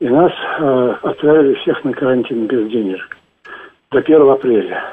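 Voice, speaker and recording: The man's voice sits at a fairly high pitch. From Moscow, Russia. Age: 50s. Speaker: caller, unemployed projectionist. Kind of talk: call-in question.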